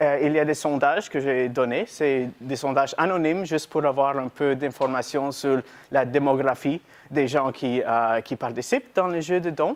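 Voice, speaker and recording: A fairly high-pitched man with a non-native accent, at a fairly slow pace with ordinary pitch variation. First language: not French (speaking French). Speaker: workshop presenter, intern. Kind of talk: lecture. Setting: university lecture room with audience. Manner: halting, reading from notes.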